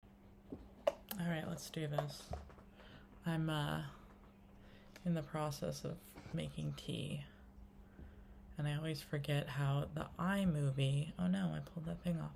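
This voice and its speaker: A soft-spoken woman talks at a very slow pace with long, frequent pauses. Room echo is audible. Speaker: spiritual vlogger. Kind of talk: casual monologue vlog. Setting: home kitchen. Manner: quiet, soft-spoken; free-flowing, hesitant with many fillers.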